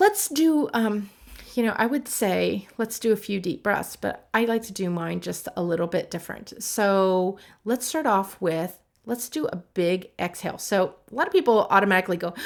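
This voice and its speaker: At a moderate pace, a woman speaks in a normal speaking voice at medium pitch. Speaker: writing and human design coach. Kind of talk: casual address to course participants with guided breathing. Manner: relaxed, conversational with fillers.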